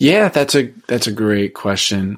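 A man talks at a moderate pace with a fairly low pitch. It is a normal speaking voice on a very clean recording with a silent background. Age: 20s. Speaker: podcaster and author. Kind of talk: interview.

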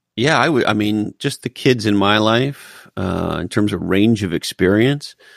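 Speaking at a fairly slow pace, a man with an American accent has a fairly low pitch, ordinary pitch variation, and a dry, close sound with no echo. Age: 50s. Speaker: marketing executive and author. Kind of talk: casual interview chat. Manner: animated.

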